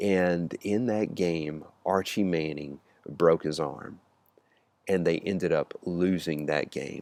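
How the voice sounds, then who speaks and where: Very deep and low in pitch, a man with a Mississippi accent speaks at a very slow pace. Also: ordinary pitch variation. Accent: Southern US (Mississippi). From US Deep South, Mississippi. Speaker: youth ministry speaker. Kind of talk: personal storytelling. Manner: halting, many fillers.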